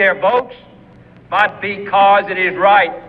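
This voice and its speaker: Noticeable background noise is present. Through it, a man talks at a fairly slow pace. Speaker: politician. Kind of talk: political speech. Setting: outdoors. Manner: measured, with deliberate pauses.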